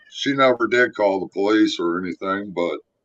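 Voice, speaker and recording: A man's lively intonation comes through in a dry, close sound with no echo. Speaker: guest giving testimony. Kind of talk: testimony. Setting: live video stream.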